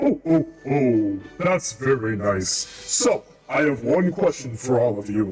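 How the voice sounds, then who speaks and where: With faint music in the background, a man performs a put-on character voice at medium pitch, fairly slow, with lively intonation. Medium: actual play. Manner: jovial, repeating "oh, oh".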